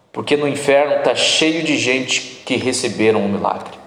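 The pace is moderate and the pitch varies in an ordinary way. Noticeable background noise sits behind the voice. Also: man. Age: 30s. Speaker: pastor. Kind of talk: sermon.

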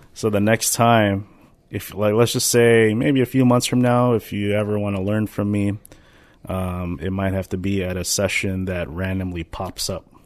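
A man's unremarkable speaking voice, fairly low in pitch, with fairly even intonation, a moderate pace and a quiet background. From Minnesota. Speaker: podcast co-host, dance teacher. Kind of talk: casual chat.

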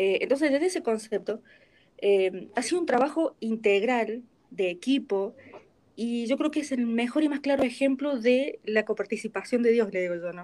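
A woman's high voice with lively intonation, in a Rioplatense accent. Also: moderate pace. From Argentina. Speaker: voice actor. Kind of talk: interview.

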